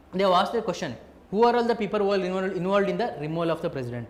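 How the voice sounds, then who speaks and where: A high-pitched man talking at a very fast pace with lively intonation, with audible room echo. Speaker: teacher. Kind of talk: lecture. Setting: live online class.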